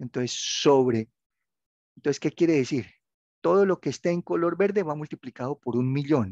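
A man's fairly high, lively voice at a moderate pace, with long, frequent pauses, a dry, close sound with no echo and a quiet background. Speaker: university tutor. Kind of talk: online class tutorial.

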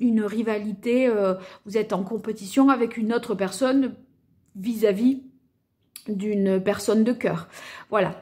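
A woman speaks in a dark, mellow, somewhat breathy tone. She leaves long, frequent pauses against a quiet background. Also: fairly even intonation, fairly slow pace. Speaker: card reader. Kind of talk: tarot reading commentary.

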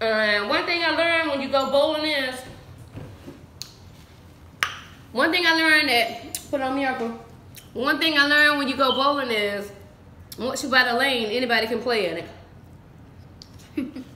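Amid light background noise and audible room echo, a woman uses a raised, projected voice with ordinary pitch variation, a fairly slow pace, and long, frequent pauses. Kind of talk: casual vlog chat. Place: home room. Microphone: phone near.

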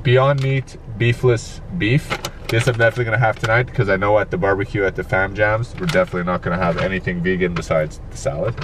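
A man talks very fast in a dry sound with no echo, while noticeable background noise can be heard. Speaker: vlogger. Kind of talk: casual vlog chat. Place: car. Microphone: phone near.

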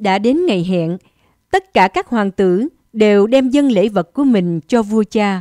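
A woman's very slow speech, dark and mellow in tone, with lively intonation and a dry, close sound with no echo. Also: medium pitch for a woman. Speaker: narrator. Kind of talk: fairy-tale narration. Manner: storyteller's measured, even pace.

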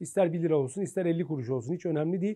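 A man's high voice with a dark, mellow tone. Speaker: pharmacist. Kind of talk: interview. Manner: hesitant fillers.

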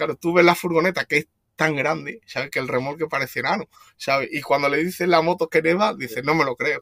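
A man speaks at a very fast pace in a bright, sharp tone, his pitch fairly high with ordinary variation. The sound is dry and close, with no echo. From Spain, Extremadura (Badajoz). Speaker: van traveller, motorcyclist, accident survivor. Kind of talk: casual interview. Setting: in his van in Portugal. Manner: halting, many repeated words.

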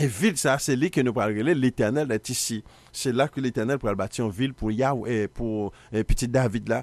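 In a Haitian accent, a man speaks at a moderate pace with ordinary pitch variation. The sound is dry, with no echo. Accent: Haitian Creole-accented French. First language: Haitian Creole (speaking French). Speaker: Bible teacher, TV show host; Bible teacher, TV host. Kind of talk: biblical teaching broadcast; sermon-style Bible teaching. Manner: halting, repetitive. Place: studio. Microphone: studio mic.

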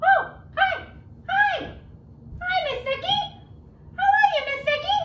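An extremely high-pitched put-on character voice from a woman, fairly slow with long, frequent pauses, over light background noise

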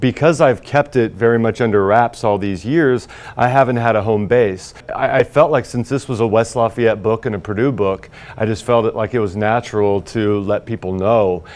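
With an American accent, a man speaks at a moderate pace with ordinary pitch variation. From Indiana, US Midwest. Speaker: high school teacher and horror novelist; teacher. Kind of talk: news interview soundbites. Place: studio. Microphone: lapel.

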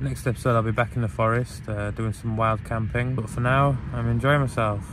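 Over noticeable background noise, a man talks at a fairly quick pace, the sound dry with no echo. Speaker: camping vlogger. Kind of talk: casual vlog chat. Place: tent. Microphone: phone near.

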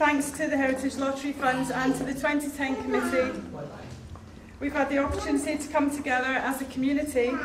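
Moderately paced female speech, noticeable background noise underneath. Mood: warm, slightly nervous. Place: hall.

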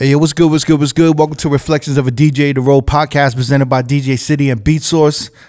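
Over a quiet background, a man with a fairly high pitch talks at a very fast pace in a monotone, flat intonation. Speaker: DJ and podcast host. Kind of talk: podcast intro and interview questions. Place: studio. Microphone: studio mic.

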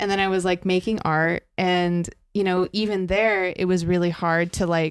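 A woman with an American accent speaks at a moderate pace in a monotone, flat intonation and very even loudness, over a quiet background. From US West Coast, San Francisco Bay Area; US West Coast. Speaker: mixed media and performance artist; podcast guest. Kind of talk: casual chat. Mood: relaxed, reflective. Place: home room. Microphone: handheld.

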